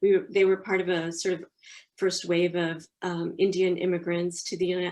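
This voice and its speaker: Speaking with an American accent, a woman has a fairly low pitch. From US. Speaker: publishing professional. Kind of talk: interview.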